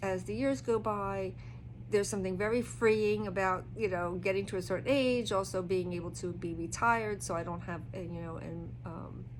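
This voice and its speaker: A woman speaks in a relaxed tone at a moderate pace, with audible room echo and music in the background. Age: 60s. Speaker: tarot reader. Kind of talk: casual talk-through of a tarot reading. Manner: relaxed, hesitant with fillers.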